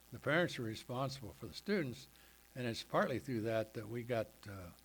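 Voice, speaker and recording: This man speaks with an American accent at a medium pitch. His intonation is lively and his voice somewhat breathy. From West Virginia, Ohio Valley. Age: 80s+. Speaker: retired bank executive, church event speaker. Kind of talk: personal testimony talk. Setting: church men's breakfast. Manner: halting, many fillers.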